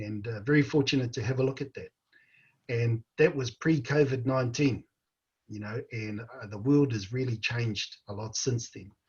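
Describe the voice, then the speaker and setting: In a New Zealand accent, a man talks in a somewhat breathy voice. His intonation is fairly even, but his loudness swings widely. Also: medium pitch for a man, moderate pace. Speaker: panel moderator. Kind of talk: panel discussion. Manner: halting.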